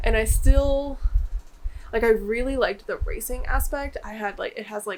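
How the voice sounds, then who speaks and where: A high-pitched woman speaks at a moderate pace with very wide pitch swings and big swings in loudness over noticeable background noise. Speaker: booktuber. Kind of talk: casual vlog talk. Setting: home office. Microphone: echoey room.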